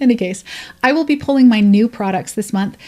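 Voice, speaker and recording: A woman speaks with a dark, mellow tone and a somewhat breathy quality, her pitch varying in an ordinary way. The recording is very clean, with a silent background. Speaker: beauty YouTuber. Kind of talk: casual vlog update.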